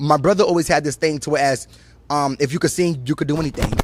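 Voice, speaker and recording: A man with a fairly high voice is heard against noticeable background noise. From New York City, Brooklyn. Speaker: choreographer and recording artist. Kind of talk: interview. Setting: on location. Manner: fast; animated.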